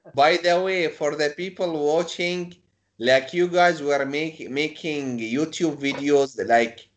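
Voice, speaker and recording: Speaking at a very slow pace, a man has a fairly high pitch. He talks with a non-native accent. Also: ordinary pitch variation. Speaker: YouTube interviewer. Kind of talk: casual chat.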